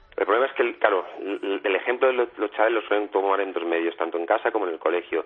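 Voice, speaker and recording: A man speaks at a very fast pace with hardly any pauses, a fairly low pitch and ordinary pitch variation. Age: 40s. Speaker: strength training expert. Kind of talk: radio interview.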